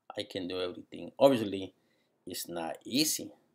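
Against a quiet background, a man speaks at a fairly slow pace in a Spanish accent. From Guatemala. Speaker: graduate student. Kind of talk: personal video monologue; casual vlog chat. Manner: halting. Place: home room. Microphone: webcam.

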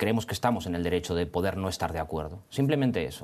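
The man's voice sits at a fairly low pitch. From Spain. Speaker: lawyer. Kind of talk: studio debate. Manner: halting, many repetitions and fillers. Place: studio. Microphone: lapel.

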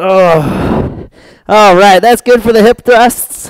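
A high-pitched man with lively intonation, a dry sound with no echo and a quiet background. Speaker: fitness instructor. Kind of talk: workout instruction. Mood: upbeat, amused by dog. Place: home room.

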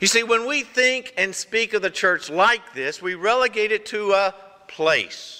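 In a raised, projected voice, a man speaks at a moderate pace. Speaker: pastor. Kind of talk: sermon. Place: church.

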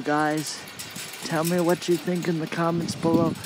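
A man speaks with a fairly high pitch over faint background noise. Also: slightly mellow tone.

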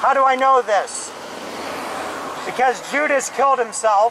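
A man's fairly slow speech comes through noticeable background noise. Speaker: street preacher. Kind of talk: sermon. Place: street.

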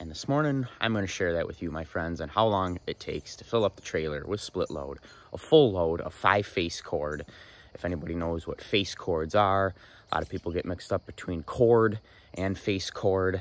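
A man speaks with a very deep, low pitch and ordinary pitch variation. His pace is moderate, and the sound is dry with no echo. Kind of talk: casual vlog chat. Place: open country. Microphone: phone near.

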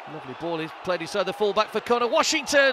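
A man with a high voice speaks very fast with lively intonation. Noticeable background noise is present. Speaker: football commentator. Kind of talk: live football commentary highlights. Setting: match commentary over highlights reel. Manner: stats-laden, brisk, informative.

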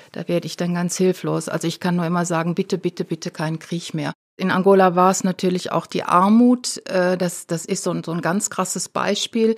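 On a dry, close, very clean recording with no echo and a silent background, a woman talks at a fairly quick pace with hardly any pauses, keeping her fairly low voice at a fairly even intonation. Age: 60s. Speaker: activist and retired development aid worker. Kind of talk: interview. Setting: studio. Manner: halting.

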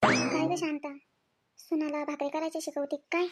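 A woman puts on a squeaky character voice at a high pitch. She speaks at a fairly slow pace with monotone, flat intonation. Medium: cartoon. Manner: chatty, teasing.

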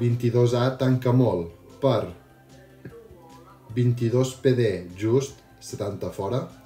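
Amid faint music and audible room echo, a man speaks very slowly with fairly even intonation and long, frequent pauses. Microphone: helmet.

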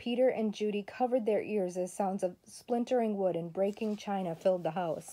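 The delivery is plain reading aloud. Its pitch varies in an ordinary way.

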